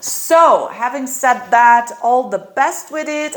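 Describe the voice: A woman with a fairly high pitch talks slowly and with lively intonation, her voice carrying an audible room echo.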